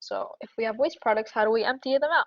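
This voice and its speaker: A woman's high pitch with ordinary pitch variation at a fairly quick pace, in a dry, close sound with no echo. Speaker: student tutor leading a review session. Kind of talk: lecture. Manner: fast.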